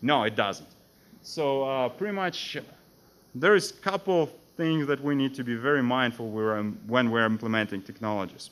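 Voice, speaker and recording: A man speaks at a moderate pace with a non-native accent. His intonation is lively. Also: medium pitch for a man. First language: not English. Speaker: security architect. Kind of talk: conference talk.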